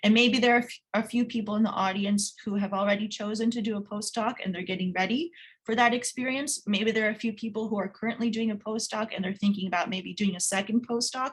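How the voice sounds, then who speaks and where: This woman has a fairly high pitch and a somewhat breathy voice. She talks at a very fast pace with hardly any pauses and fairly even intonation. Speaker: career advisor. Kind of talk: webinar presentation. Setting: online webinar.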